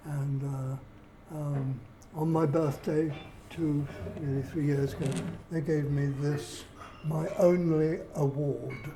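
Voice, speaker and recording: Amid noticeable background noise and audible room echo, a man with a fairly high pitch speaks at a very slow pace in a monotone, flat intonation. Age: 80s+. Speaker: retired engineer and amateur musician. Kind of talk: documentary interview. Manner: halting.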